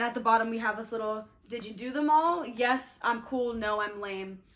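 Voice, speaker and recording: A woman talks in an animated tone at a fairly high pitch with ordinary pitch variation. Noticeable background noise runs underneath. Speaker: youtuber, actor. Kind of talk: casual vlog tutorial. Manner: fast.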